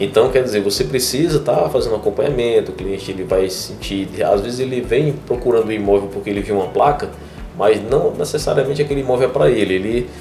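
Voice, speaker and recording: A man talking at a very fast pace, with music in the background and audible room echo. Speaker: podcast host and real estate broker. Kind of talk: casual interview chat.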